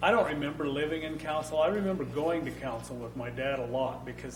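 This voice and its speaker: With an American accent, a man speaks at a fairly quick pace in a fairly high voice with ordinary pitch variation, and the room echo is audible. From Idaho, Boise and Cabarton area. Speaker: panelist on local history. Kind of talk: oral history interview before an audience. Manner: halting, with repeated words.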